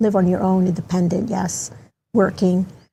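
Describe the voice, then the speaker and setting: A woman speaks in a dark, mellow, somewhat breathy voice. Her pace is fairly quick. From Baltimore County, Maryland (born El Salvador, moved at 10). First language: Spanish. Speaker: community advocate, guest. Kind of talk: interview. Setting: studio.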